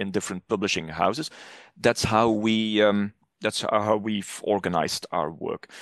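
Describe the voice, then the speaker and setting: The speaker has a Flemish accent and keeps a moderate pace. The sound is dry and close with no echo, and the background is quiet. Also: man. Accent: Flemish Dutch accent in English. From Flanders, northern Belgium. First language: Dutch (Flemish). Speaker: academic publishing manager. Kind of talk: podcast interview. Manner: frequent hesitations and restarts.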